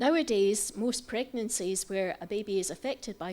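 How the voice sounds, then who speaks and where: Speaking in a Scottish accent, a woman moves at a fairly quick pace with ordinary pitch variation. The recording is very clean, with a silent background. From Scotland. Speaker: doctor and president of a patient federation. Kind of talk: conference lecture. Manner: fast.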